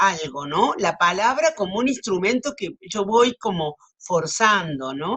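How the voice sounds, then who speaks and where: Her voice swings very widely in pitch as the woman speaks with a Cordoban Argentine accent. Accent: Argentine Spanish, Córdoba. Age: 70s. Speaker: writer. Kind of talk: interview. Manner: hesitant.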